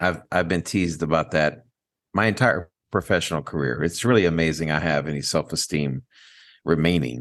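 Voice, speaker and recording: A man talks at a fairly quick pace in a very deep, low voice with vocal fry. His pitch varies in an ordinary way against a quiet background. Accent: American. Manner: wry, self-deprecating.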